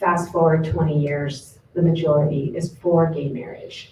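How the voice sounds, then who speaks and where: Here a woman with an American accent speaks at a fairly low pitch in a dark, mellow, somewhat breathy tone. Her pace is moderate and her pitch variation ordinary. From Southern California. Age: 50s. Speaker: professor. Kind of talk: panel talk.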